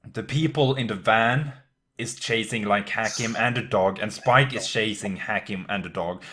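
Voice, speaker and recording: Speaking with a non-native accent, a man uses a bright, sharp tone, a medium pitch and ordinary pitch variation. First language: not English. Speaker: anime podcast co-host. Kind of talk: casual chat. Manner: halting, many fillers.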